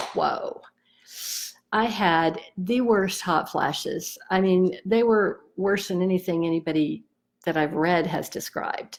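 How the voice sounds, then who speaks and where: In a very clean recording with a silent background, a woman with a plain, everyday voice speaks at a medium pitch and a fairly slow pace with ordinary pitch variation. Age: 60s. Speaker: EFT tapping practitioner. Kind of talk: personal testimony. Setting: Facebook live video. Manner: casual, conversational.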